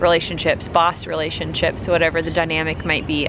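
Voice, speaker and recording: A woman's fairly low, monotone, flat voice at a very fast pace, with noticeable background noise. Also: dry sound with no echo. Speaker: vlogger. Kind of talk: casual vlog chat. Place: garden. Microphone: phone near.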